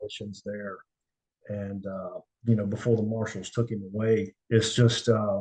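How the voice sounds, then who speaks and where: Somewhat breathy and fairly low in pitch, a man talks in a monotone, flat intonation with a dark, mellow tone and big swings in loudness. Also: moderate pace. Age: 60s. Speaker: retired special agent, investigator. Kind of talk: interview, casual storytelling. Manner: halting, many fillers.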